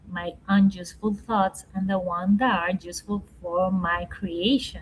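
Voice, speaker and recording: Speaking very slowly, a woman has a Spanish accent. Her medium-pitched voice is somewhat breathy. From Ecuador. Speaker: leadership coach and speaker. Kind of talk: podcast interview. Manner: slow, halting.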